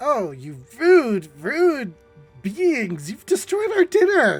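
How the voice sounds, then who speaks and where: In a put-on character voice, the speaker talks at a very slow pace in a fairly high pitch with very wide pitch swings, with faint music in the background. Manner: yelling, indignant.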